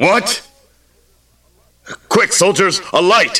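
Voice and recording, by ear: A man puts on a high-pitched character voice with a bright, sharp tone, a slightly husky edge and lively intonation, speaking at a very slow pace.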